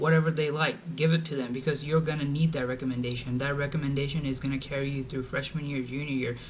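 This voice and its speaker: Over noticeable background noise and audible room echo, a man with a fairly high pitch speaks very fast in a monotone, flat intonation. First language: Bengali. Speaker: college student vlogger. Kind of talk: advice vlog. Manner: casual, informal.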